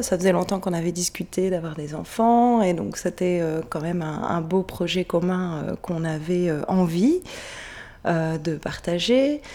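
A woman speaks at a very slow pace with medium pitch and ordinary pitch variation over noticeable background noise. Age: 30s. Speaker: midwife. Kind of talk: interview.

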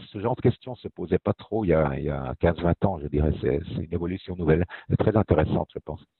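Here is a man with a very deep, low voice. He moves at a fairly quick pace with ordinary pitch variation. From French-speaking Switzerland (Fribourg). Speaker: foundation director. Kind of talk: interview.

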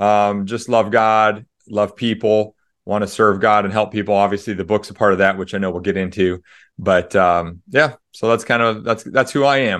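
This man has an American accent and a fairly low pitch. He talks at a moderate pace with fairly even intonation, and the background is quiet. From US Midwest (Des Moines, Iowa). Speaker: author and pastor. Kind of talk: interview.

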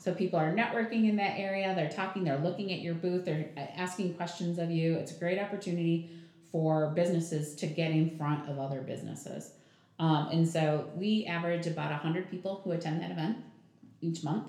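With an American accent, a woman speaks at a fairly low pitch in a dark, mellow tone with fairly even intonation, and audible room echo surrounds her. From southern Michigan, US. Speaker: chamber of commerce president. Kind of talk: casual interview.

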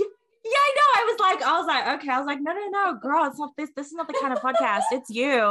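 In an Australian accent, a woman speaks at a very fast pace with hardly any pauses. Her raised, projected voice is extremely high-pitched, with very wide pitch swings. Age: 20s. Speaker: podcast host. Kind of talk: casual chat; scripted intro and outro. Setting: video call.

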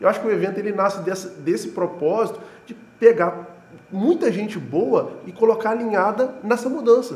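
A man with a high pitch speaks at a moderate pace, with ordinary pitch variation. His loudness swings widely. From Juiz de Fora, Minas Gerais, Brazil. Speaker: event organizer and entrepreneur. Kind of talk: casual interview chat.

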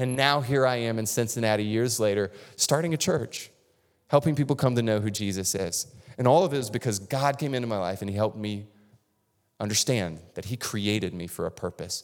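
In a very clean recording with a silent background, a man at medium pitch talks at a fairly quick pace in an animated tone with ordinary pitch variation. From North Florida, US South. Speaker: pastor. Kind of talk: sermon.

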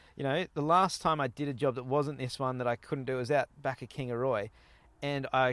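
Someone with an Australian accent talks at a fairly quick pace in a very clean recording against a silent background. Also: man. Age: 30s. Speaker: podcast host. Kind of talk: casual interview chat. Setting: outdoors at a campsite. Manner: animated.

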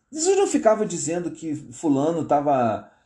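Against a quiet background, a man with a fairly high pitch and a dark, mellow tone swings his pitch very widely. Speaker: pastor. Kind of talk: live-stream commentary. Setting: live stream from home. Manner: halting.

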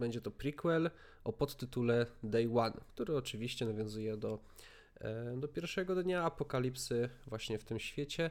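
This is a normal speaking voice from a man, medium in pitch with ordinary pitch variation. He goes at a moderate pace on a very clean recording with a silent background. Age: 20s. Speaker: podcast host. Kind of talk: casual chat.

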